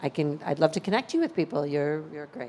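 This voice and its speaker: A woman speaks in a very deep, low voice with a dark, mellow tone. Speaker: pitch competition judge. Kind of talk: judge feedback. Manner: loud; animated.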